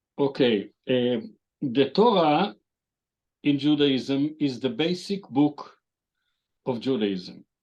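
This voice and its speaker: A man talks at a very slow pace with an Israeli accent. His pitch is fairly high and his intonation lively. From Israel, Jerusalem. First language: Hebrew. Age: 70s. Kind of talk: interview. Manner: halting, with many fillers.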